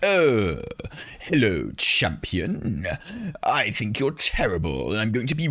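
This man speaks in a put-on character voice. His pace is very slow. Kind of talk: theatrical, villainous. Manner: sneering, condescending.

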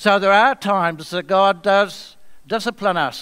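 Over a quiet background, a bright, sharp tone comes through at a very slow pace. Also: man. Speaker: guest preacher. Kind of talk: sermon. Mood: calm, earnest. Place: church.

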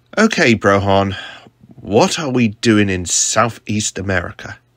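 A man puts on a character voice with a fairly low pitch and fairly bright tone. He moves at a fairly slow pace with big pitch swings.

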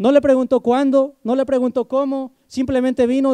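A man with an extremely high pitch and a dark, mellow tone talks at a fairly quick pace against a quiet background. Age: 20s. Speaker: preacher. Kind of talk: sermon. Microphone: handheld.

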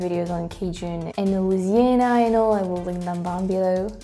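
A woman speaks with a French accent over faint music in the background. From France. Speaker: language reaction youtuber. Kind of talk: casual talk to camera. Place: home room. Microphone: lapel.

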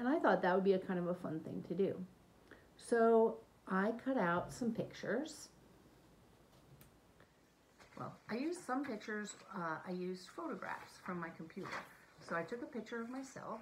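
A somewhat breathy woman's voice with very wide pitch swings, over light background noise. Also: moderate pace. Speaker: teacher. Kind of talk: tutorial. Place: home room. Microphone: phone near.

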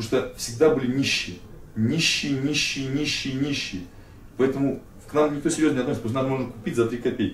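Very fast speech with ordinary pitch variation, audible room echo and light background noise. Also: man. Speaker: interviewee. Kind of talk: interview answer. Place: studio. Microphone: camera far.

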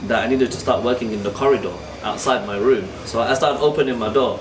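A very fast delivery in a London accent, with ordinary pitch variation and noticeable background noise. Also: man. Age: 30s. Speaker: artist. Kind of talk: documentary interview. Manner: talkative. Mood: warm, reflective. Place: workshop.

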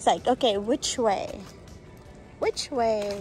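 Music plays in the background as a woman talks at a very slow pace. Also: dry sound with no echo. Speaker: vlogger on a walk. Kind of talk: casual vlog chat. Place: street. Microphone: phone near.

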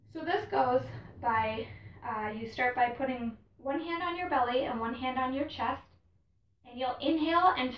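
A woman speaks at a moderate pace in a high voice, with light background noise and audible room echo. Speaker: yoga instructor. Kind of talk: tutorial. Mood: calm, gentle. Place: home room.

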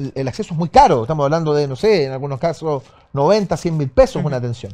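A man speaks in a Chilean accent, his pitch fairly high. His tone is dark and mellow, and his intonation is lively. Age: 50s. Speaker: radio host. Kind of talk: interview. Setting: studio. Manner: halting. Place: studio.

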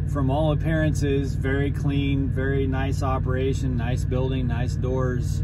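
A man talks at a fairly slow pace against loud background noise. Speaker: truck driver vlogger. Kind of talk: casual vlog chat, storytelling. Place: car. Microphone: phone near.

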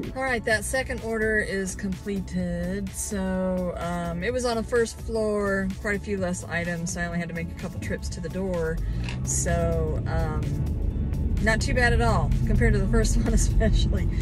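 A woman talks at a moderate pace. Clear music plays behind her, and the sound is dry, with no echo. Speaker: delivery driver vlogger. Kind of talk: casual vlog chat. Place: car. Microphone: phone near.

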